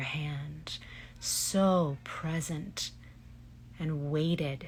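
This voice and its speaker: Somewhat breathy, monotone and flat, at a very slow pace. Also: woman. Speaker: voice actress and hypnotherapist. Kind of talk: guided relaxation imagery. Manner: slow, soft-spoken, calm.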